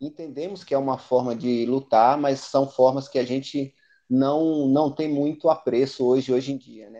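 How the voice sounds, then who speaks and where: A man speaks with a dark, mellow tone at a medium pitch and a fairly slow pace over a quiet background. His intonation is fairly even, but his loudness swings widely. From Bahia, Brazil. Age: 40s. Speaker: history teacher and capoeira master, activist. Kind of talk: panel debate. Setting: live stream.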